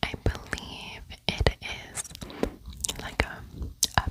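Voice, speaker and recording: Through noticeable background noise, a woman is whispering. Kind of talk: ASMR voice-over. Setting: home, voice-over. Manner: whispered.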